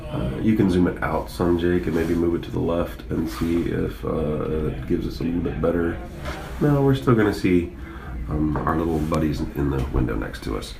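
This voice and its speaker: A man with an American accent and a very deep, low voice, at a moderate pace with lively intonation, amid noticeable background noise and audible room echo. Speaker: school sports coach and livestream commentator. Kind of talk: sports livestream commentary. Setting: press box at a football stadium. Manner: mellow.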